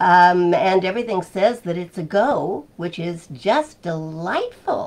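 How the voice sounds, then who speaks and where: Speaking very slowly, a woman delivers her words. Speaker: live stream host. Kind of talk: casual live stream greeting. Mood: warm and cheerful. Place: office. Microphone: webcam.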